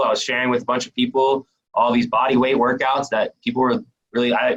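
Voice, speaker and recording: This man speaks fairly quickly, his medium-pitched voice carrying a bright, sharp tone. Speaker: personal trainer. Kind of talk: presentation; Q and A. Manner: fast; casual.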